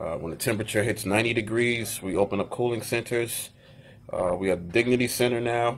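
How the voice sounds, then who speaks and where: Fairly quick talking from a man at a medium pitch. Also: fairly even intonation. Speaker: city official. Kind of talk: live-streamed community Q&A. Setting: live video stream. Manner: soft-spoken; halting, many fillers.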